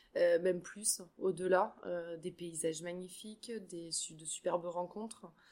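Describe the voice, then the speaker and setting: Speaking fairly slowly with hardly any pauses, a woman uses a fairly low pitch and fairly even intonation while her loudness swings widely. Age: 40s. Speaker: trek participant, insurance agent. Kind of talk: casual interview. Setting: hotel. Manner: halting, repeats words.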